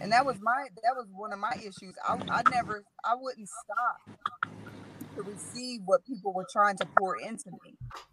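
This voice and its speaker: Over noticeable background noise, a woman with a fairly high pitch talks at a moderate pace, her loudness swinging widely and her pitch varying in an ordinary way. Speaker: community leader and mother. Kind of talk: casual interview. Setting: video call from a car.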